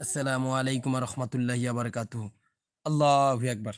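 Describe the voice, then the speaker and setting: A man at medium pitch in an animated tone, in a very clean recording with a silent background. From Rangpur, northern Bangladesh. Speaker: live streamer. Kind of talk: live stream chat.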